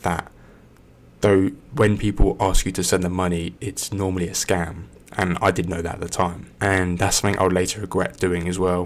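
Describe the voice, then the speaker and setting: Soft-spoken and very deep in pitch, a man talks at a moderate pace with fairly even intonation. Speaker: ASMR creator. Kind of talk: casual talk to camera.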